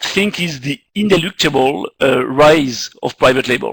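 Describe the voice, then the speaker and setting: In a French accent, a man speaks at a very slow pace with ordinary pitch variation, in a dry, close sound with no echo. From France, Paris. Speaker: marketing executive. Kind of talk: lecture. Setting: video call. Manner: halting, many fillers.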